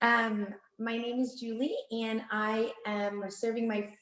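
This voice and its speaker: Her voice sits fairly high in pitch. The speaker is a woman. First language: Vietnamese. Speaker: board member. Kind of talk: self-introduction at online mixer. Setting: video call.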